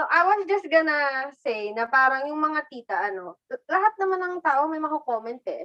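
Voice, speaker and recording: In a bright, sharp tone, the raised, projected voice moves through very wide pitch swings with hardly any pauses. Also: woman, high pitch for a woman. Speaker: live streamer and pole dancer. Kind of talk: casual chat.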